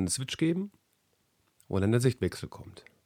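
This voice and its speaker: Lively intonation marks a man's dark, mellow tone in a dry, close sound with no echo. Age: 40s. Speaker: podcast host and sales professional. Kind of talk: podcast monologue. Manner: hesitant with fillers.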